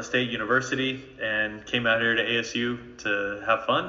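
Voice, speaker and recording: Over noticeable background noise and audible room echo, a man speaks at a medium pitch in a monotone, flat delivery. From North Jersey, Bergen County. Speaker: ministry training leader. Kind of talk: interview.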